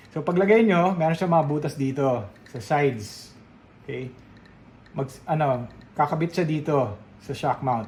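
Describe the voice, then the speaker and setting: A man speaks at a moderate pace with a Filipino accent and ordinary pitch variation. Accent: Filipino English with Tagalog code-switching. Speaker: radio DJ and voiceover artist. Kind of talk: product review talking to camera. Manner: professional radio-trained, clear, friendly.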